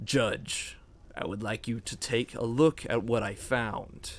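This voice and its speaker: A man puts on a raspy character voice at a medium pitch. He talks at a fairly slow pace with ordinary pitch variation. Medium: actual play. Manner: smug, menacing.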